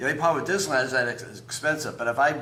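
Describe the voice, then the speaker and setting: Noticeable noise fills the background. A man's voice carries audible room echo. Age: 60s. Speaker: retiree, community resident. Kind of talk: interview. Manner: halting.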